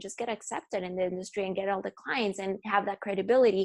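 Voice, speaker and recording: In a Spanish accent, a woman speaks at a medium pitch. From Bolivia, La Paz. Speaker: fashion photographer. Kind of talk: podcast interview.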